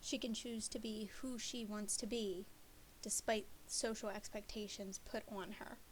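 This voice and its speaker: A soft-spoken woman with fairly even intonation. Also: fairly high pitch for a woman, fairly slow pace. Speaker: student presenting a class project. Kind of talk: class presentation.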